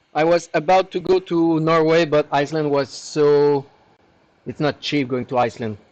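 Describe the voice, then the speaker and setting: At a moderate pace, a man with a French accent speaks in a fairly high voice with fairly even intonation. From Quebec, Canada. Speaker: hardware repair technician. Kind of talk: live stream tutorial, reading chat questions. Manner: casual, with frequent hesitations.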